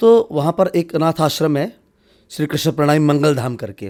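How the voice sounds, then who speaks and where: Very clean recording, silent in the background. The voice is an ordinary speaking voice with ordinary pitch variation. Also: man. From Haryana, India. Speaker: spiritual leader. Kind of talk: interview.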